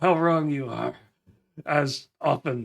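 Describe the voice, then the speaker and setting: A man in a put-on character voice speaks fairly slowly at a medium pitch, sounding raspy with fairly even intonation. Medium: actual play.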